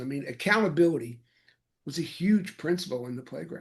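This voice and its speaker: Somewhat breathy, a fairly high-pitched man speaks at a fairly quick pace. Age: 70s. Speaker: executive search consultant, author. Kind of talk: interview answer. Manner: hesitant, many fillers.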